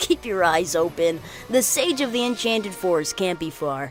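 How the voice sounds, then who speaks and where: Cartoonish character voice at a middle pitch and moderate pace, over clear background music. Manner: relaxed, unflappable.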